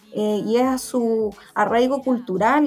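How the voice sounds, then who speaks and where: Music plays in the background. A woman speaks with fairly high pitch and fairly even intonation. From Chile, Santiago. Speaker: veterinarian and researcher. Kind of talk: interview. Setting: community radio program.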